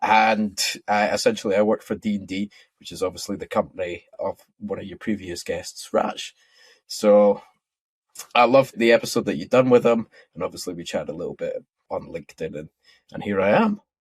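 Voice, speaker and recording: Speaking in a Scottish accent at a fairly quick pace, a man shows big swings in loudness and long, frequent pauses, with a dry, close sound and no echo. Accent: Scottish, toned down a bit. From Scotland. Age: 20s. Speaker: futures trader and technical analyst. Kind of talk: podcast interview. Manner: casual, friendly.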